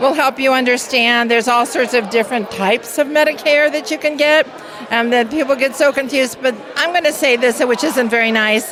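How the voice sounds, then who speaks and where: A woman's high voice at a fairly quick pace, with ordinary pitch variation and very even loudness, amid noticeable background noise. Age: 70s. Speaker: insurance agent. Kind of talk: interview.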